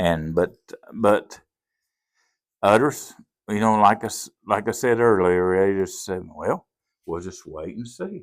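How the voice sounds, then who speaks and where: Speech in a Southern accent with ordinary pitch variation and long, frequent pauses, on a very clean recording with a silent background. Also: man, fairly low pitch for a man, fairly slow pace, big swings in loudness. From US South (Appalachia). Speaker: pastor. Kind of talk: testimony.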